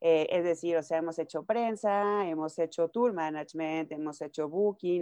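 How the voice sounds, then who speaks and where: A woman speaks with a Mexican accent at a fairly slow pace, with a fairly low pitch and ordinary pitch variation. Her tone is dark and mellow against a quiet background. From Mexico, Nayarit. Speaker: music manager and publicist. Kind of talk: interview.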